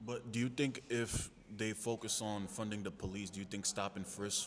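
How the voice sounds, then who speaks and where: A man with a New York accent speaks in a fairly low pitch with fairly even intonation. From New York City. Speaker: street interviewer, channel host. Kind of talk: casual street interview. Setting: community center.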